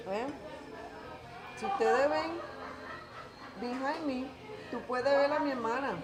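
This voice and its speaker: A woman with a high voice talks at a moderate pace, with lively intonation and long, frequent pauses, over music in the background. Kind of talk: casual talk to camera. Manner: code-switching Spanglish.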